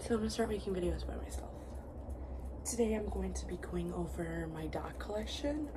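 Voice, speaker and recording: A soft-spoken woman with a very deep, low pitch, fairly even intonation, and a fairly quick pace, over noticeable background noise. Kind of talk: ASMR collection and cleaning video.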